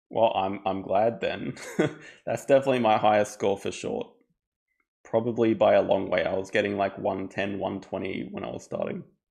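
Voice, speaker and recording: Someone male talks at a moderate pace with an Australian accent. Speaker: board game streamer. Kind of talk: live gameplay commentary. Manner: casual, with hesitations and repeats.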